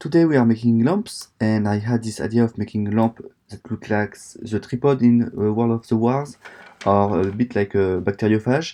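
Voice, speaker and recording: A man with a French accent speaks at a medium pitch in a dark, mellow tone. His pace is moderate and his pitch variation ordinary. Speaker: woodworking YouTuber. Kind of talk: tutorial narration.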